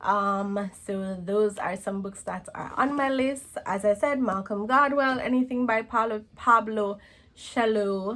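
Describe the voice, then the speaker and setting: Here a woman talks at a fairly slow pace. Her voice is fairly high, with ordinary pitch variation. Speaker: book vlogger. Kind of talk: casual vlog talk. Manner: hesitant, many fillers.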